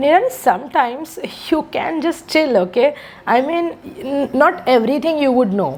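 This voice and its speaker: Lively intonation marks a woman's high-pitched voice at a moderate pace. Noticeable background noise can be heard. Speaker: English speaking tutor. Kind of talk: mock speaking test feedback. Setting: video call. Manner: soft-spoken.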